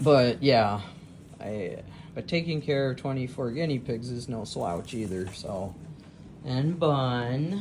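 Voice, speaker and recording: A woman with a very deep, low pitch, lively intonation and a very slow pace, amid audible room echo. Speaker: teacher and guinea pig keeper. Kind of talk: casual vlog narration. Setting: indoors, pet room at midnight. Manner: hesitant, many fillers.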